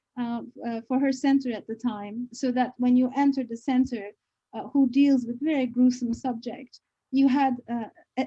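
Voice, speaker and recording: A woman's high-pitched, dark and mellow voice at a moderate pace, with fairly even intonation and a dry, close sound free of echo. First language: not English. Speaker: professor. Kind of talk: book launch talk. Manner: halting, many fillers.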